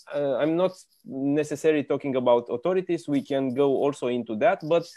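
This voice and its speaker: At a moderate pace, speech in a Romanian accent shows ordinary pitch variation in a dry sound with no echo. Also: man. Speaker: business magazine interviewer. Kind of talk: interview. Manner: halting. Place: home room. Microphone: earbuds.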